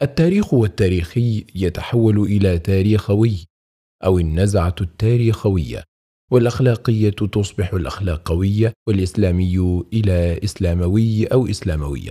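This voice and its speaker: A man speaks slowly in a fairly low, somewhat breathy voice with a dark, mellow tone and ordinary pitch variation. His loudness stays very even, and the recording is very clean with a silent background. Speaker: audiobook narrator. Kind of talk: audiobook reading of Islamic text. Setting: studio. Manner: clear, correct classical Arabic pronunciation.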